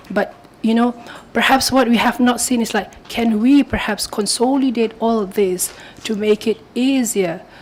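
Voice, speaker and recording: Fairly slow speech with fairly even intonation amid noticeable background noise. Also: woman, fairly high pitch for a woman. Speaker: policy speaker at round table. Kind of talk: conference presentation. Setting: round table discussion with audience. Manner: hesitant, with fillers. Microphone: mic was too far, moved nearer.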